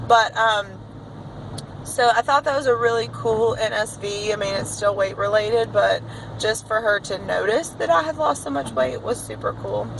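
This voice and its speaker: A woman talks at a moderate pace. Behind her, background noise is noticeable. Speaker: teacher vlogger. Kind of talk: casual vlog. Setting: in a car.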